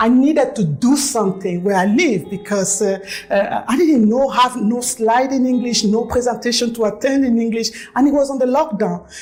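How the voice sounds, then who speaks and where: A woman with a fairly high pitch speaks with hardly any pauses and ordinary pitch variation, with music in the background. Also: moderate pace. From Cameroon. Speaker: network marketing distributor. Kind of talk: testimony.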